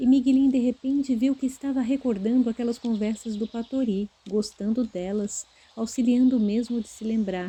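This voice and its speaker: A woman with a fairly high pitch and a dark, mellow tone speaks at a moderate pace with fairly even intonation. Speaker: audiobook narrator. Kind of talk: literary audiobook narration. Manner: expressive, character-differentiating.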